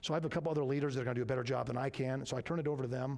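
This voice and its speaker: In a room with audible echo, a man speaks with fairly even intonation at a fairly high pitch. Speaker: business owner teaching a church class. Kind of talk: church class Q and A. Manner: fast.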